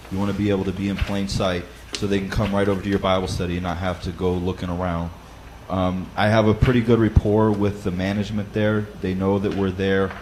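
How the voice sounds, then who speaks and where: Very fast, monotone speech from a man with a fairly low pitch, over noticeable background noise. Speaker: Bible study leader. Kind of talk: teaching talk. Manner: casual with frequent fillers and repetitions.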